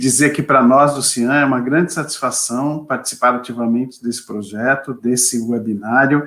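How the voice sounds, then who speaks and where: A man's unremarkable speaking voice, medium-pitched and moderately paced. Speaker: lawyer and NGO president. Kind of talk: webinar presentation. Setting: video webinar.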